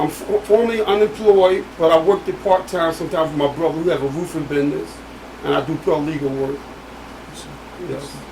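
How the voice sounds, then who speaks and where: Noticeable background noise sits behind a man talking at a fairly quick pace. His voice is high, with ordinary pitch variation. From US Northeast, Philadelphia. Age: 60s. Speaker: exonerated former prisoner. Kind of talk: interview testimony.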